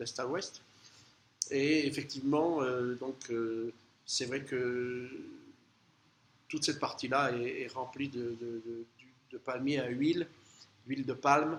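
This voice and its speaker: A man speaks at a very slow pace and a medium pitch. His intonation is fairly even. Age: 60s. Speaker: travel vlogger. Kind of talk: casual travel monologue. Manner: halting, many hesitations.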